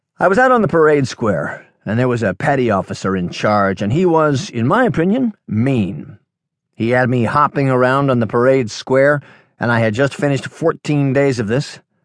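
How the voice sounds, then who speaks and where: Animated tone and lively intonation at a moderate pace over a quiet background. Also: man, medium pitch for a man. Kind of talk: audiobook reading of a workshop talk, telling a personal story. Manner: conversational, anecdotal, animated with quoted dialogue.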